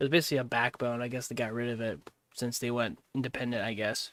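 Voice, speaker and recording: Over a very clean recording with a silent background, a man speaks in an American accent. His intonation is monotone and flat, and his pace fairly quick. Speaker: livestreamer. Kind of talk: casual reaction stream. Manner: loud.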